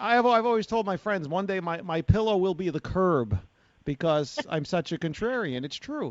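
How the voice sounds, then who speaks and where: A man's high voice in a New York accent, with very wide pitch swings and a fairly quick pace. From New York City, Bronx. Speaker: talk radio host. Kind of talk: radio talk show discussion. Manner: gruff, unpolished.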